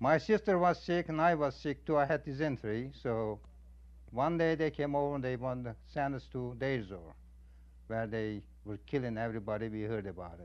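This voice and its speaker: With an Armenian accent, the speaker goes at a fairly quick pace with lively intonation over a quiet background. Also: man, medium pitch for a man. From Armenian community of central Anatolia, Turkey (Kayseri). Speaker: genocide survivor. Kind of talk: testimony. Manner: halting.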